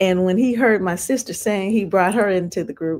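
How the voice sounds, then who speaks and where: A woman's ordinary speaking voice, medium in pitch, with ordinary pitch variation and a moderate pace. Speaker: singer and actress. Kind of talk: interview answer.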